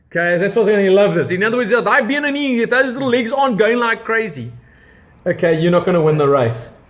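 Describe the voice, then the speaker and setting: A man talks at a very fast pace in a high pitch, with lively intonation. Noticeable background noise runs behind him. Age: 50s. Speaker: interviewer and entrepreneur. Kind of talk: interview.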